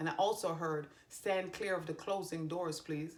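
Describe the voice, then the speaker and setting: A woman with a Jamaican accent, fairly low in pitch, at a moderate pace. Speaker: tarot reader and psychic medium. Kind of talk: tarot reading video; reading aloud from card guidebook. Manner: casual, self-correcting.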